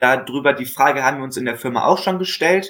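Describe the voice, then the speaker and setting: Recorded very cleanly against a silent background, a man speaks at a fairly high pitch. His pitch variation is ordinary. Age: 20s. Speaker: bicycle mechanic apprentice and salesman. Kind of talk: casual interview. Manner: hesitant, many filler sounds.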